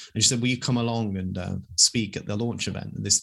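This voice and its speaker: Talking at a very fast pace, a man with a British accent keeps his intonation fairly even. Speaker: wildlife campaigner and author. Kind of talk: interview. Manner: confident, speaks without notes.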